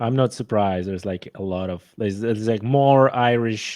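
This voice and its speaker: The speaker has a Polish accent, and the background is quiet. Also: man. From Poland. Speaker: hunter and conservation enthusiast. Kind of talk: casual interview chat.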